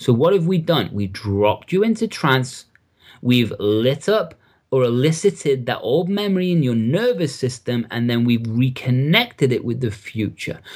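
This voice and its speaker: Recorded very cleanly against a silent background, a man with an English accent speaks at a moderate pace and medium pitch, with very wide pitch swings. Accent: English accent, noticed by host. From Liverpool, England. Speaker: NLP coach and trainer. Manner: friendly, casual.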